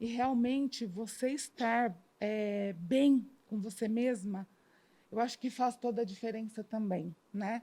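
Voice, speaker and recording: A woman's somewhat breathy, fairly high-pitched voice with a dark, mellow tone, ordinary pitch variation, and a very slow pace. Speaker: cancer patient. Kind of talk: testimony.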